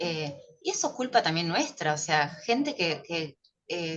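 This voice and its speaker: A woman with an ordinary speaking voice talks at a fairly slow pace, her fairly low pitch moving with lively intonation. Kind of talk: casual chat.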